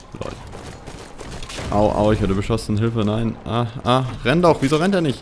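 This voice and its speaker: A man's lively intonation at a moderate pace, with long, frequent pauses and noticeable background noise. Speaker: gaming commentator. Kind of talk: casual gameplay commentary.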